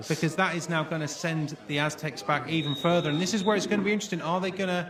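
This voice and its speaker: Over noticeable background noise, a man's pitch varies in an ordinary way. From British. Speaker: sports commentator. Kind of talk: live sports play-by-play commentary.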